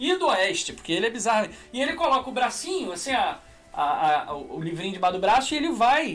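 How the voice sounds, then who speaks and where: A man speaks over noticeable background noise. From Brazil, Petrópolis (Rio de Janeiro state). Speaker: podcast host. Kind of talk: casual chat. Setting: live stream.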